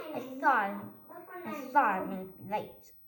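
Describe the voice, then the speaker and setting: Using a put-on character voice, a woman talks at a fairly slow pace with fairly high pitch. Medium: read story.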